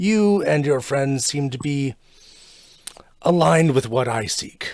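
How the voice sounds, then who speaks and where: Using a put-on character voice, a man speaks in a fairly high pitch at a fairly slow pace. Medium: actual play. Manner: cryptic, measured.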